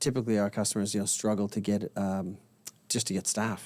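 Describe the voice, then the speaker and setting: Dark, mellow tone at a moderate pace. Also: man. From Canada. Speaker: technology sales and marketing director. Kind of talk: casual interview. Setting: studio in a bar venue.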